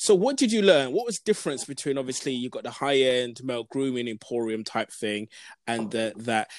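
A man speaks at medium pitch and a fairly quick pace, with an enthusiastic tone and lively intonation. The recording is very clean and dry, with a close sound, no echo and a silent background. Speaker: podcast host. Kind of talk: interview.

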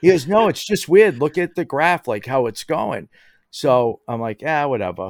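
This man has a fairly high pitch and talks at a moderate pace. His pitch swings very widely. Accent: American. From Boston area, Massachusetts (Somerville). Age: 50s. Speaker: maker and content creator. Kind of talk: casual chat. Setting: remote call, lying in bed.

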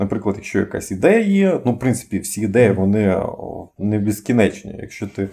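In a very clean recording with a silent background, a man with a fairly low, dark and mellow voice speaks at a moderate pace. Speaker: podcast co-host. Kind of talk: casual chat. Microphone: cheap poor-quality microphone.

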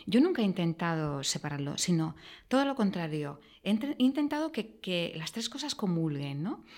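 The voice swings very widely in pitch. The pace is moderate. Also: woman, fairly low pitch for a woman. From Andalusia, near Granada. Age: 50s. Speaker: executive. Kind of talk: interview.

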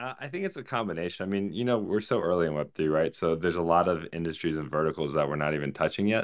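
Talking at a very fast pace with hardly any pauses, the speaker has an American accent and ordinary pitch variation over a quiet background. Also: man, very deep, low pitch for a man. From Virginia. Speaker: regenerative farmer. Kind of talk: casual panel chat.

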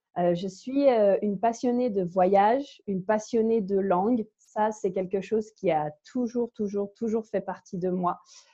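The tone is dark and mellow, with ordinary pitch variation. Delivery runs at a fairly slow pace with hardly any pauses. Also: woman, medium pitch for a woman. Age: 20s. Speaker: language enthusiast and podcaster. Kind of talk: casual interview.

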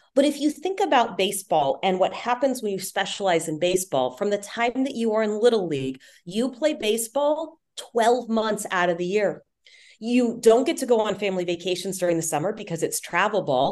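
A woman talks at a fairly quick pace with a medium pitch. Her pitch swings very widely. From Texas, Houston. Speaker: sports broadcaster and communication coach. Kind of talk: interview.

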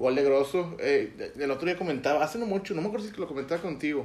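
This is a man with a normal speaking voice. He talks at a fairly quick pace with ordinary pitch variation. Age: 20s. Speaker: football podcast host. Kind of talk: casual chat.

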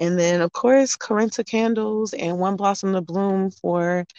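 Recorded with a dry, close sound and no echo, a woman with an American accent speaks in an ordinary speaking voice at a fairly slow pace, with ordinary pitch variation. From US South, Durham, North Carolina. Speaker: vegan chef. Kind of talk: interview.

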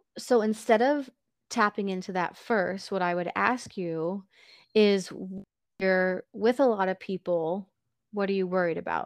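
On a quiet background, a woman at medium pitch uses a plain, everyday voice with ordinary pitch variation and a dry, close sound with no echo. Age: 30s. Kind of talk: interview.

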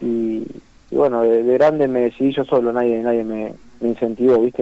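A man with an ordinary speaking voice talks at medium pitch. His pace is moderate and his intonation fairly even. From Argentina, Santa Isabel (Santa Fe). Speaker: professional footballer. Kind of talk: phone interview. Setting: phone call.

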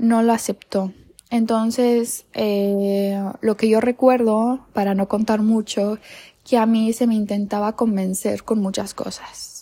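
Over a silent background in a very clean recording, a woman speaks very slowly in a fairly high, monotone, flat voice with a dark, mellow tone. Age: 20s. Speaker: podcaster. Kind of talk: personal storytelling monologue.

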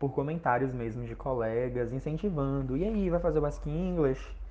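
A man's dark, mellow tone with lively intonation at a fairly slow pace. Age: 20s. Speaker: university student. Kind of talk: podcast interview.

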